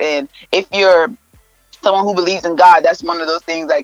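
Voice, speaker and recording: Music plays in the background. The delivery moves at a very fast pace. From Nigeria. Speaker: mental health counselor. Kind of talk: interview answers, casual advice chat. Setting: radio studio interview.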